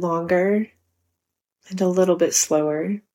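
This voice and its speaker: A woman's medium-pitched voice, dark and mellow, with a calm, soothing tone and fairly even intonation. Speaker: podcast host and running coach. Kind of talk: guided meditation. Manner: slow, soft, calm and soothing, with long pauses.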